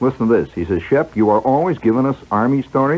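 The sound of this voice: The clip features an unforced reading voice. Nothing is pushed or strained.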